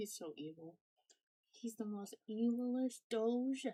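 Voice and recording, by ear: A woman's mumbling put-on character voice, fairly high in pitch, with ordinary pitch variation and a fairly slow pace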